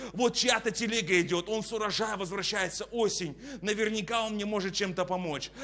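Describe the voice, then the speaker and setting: Speaking at a moderate pace, a man uses a high pitch and an animated tone. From Kazakhstan. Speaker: preacher. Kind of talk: sermon. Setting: church. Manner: preacherly, exhorting. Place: studio. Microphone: lapel.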